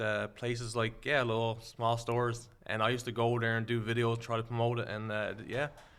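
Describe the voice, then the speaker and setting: A man in a strong Newfoundland accent, medium pitch, monotone and flat, fairly quick with hardly any pauses. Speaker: social media creator and seasoning entrepreneur. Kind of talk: casual chat.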